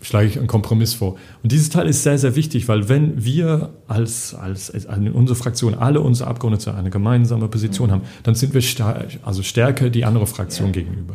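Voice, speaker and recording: Very fast and somewhat breathy, a man's dark, mellow voice moves with ordinary pitch variation. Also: medium pitch for a man. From England. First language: English (speaking German). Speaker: parliamentary group policy adviser. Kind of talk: casual interview. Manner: halting, many fillers.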